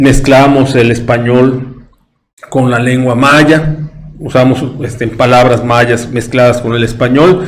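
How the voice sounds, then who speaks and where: A man with a Yucatecan accent at medium pitch, very slow and fairly even in intonation, with audible room echo. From Yucatán, Mexico. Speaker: history commentator on a talk show. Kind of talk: casual chat. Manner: halting.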